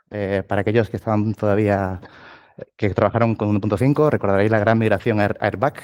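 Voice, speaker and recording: With an Andalusian accent, a man of fairly low pitch speaks at a very fast pace in a very clean recording with a silent background. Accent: southern Spanish (Andalusian). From southern Spain, Cádiz. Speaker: tech lead, conference speaker. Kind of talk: tech talk at meetup.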